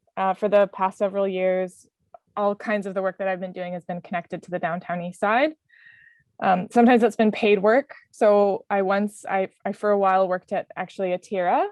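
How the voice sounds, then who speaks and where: A woman in an unremarkable speaking voice talks at a fairly quick pace with a Canadian accent. Her intonation stays fairly even. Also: medium pitch for a woman. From Canada. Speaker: community worker. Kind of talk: panel talk from notes. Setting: video call.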